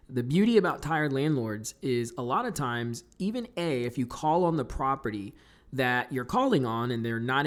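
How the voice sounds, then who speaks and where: The recording is very clean and the background silent. In it, a man's medium-pitched voice shows ordinary pitch variation. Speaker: real estate investor. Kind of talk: tutorial. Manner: fast; loud.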